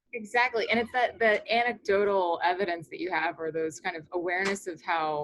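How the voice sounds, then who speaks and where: A woman speaks with an American accent in an unremarkable speaking voice. She keeps a fairly quick pace with ordinary pitch variation. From US South, Florida. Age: 30s. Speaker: crypto exchange executive. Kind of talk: interview.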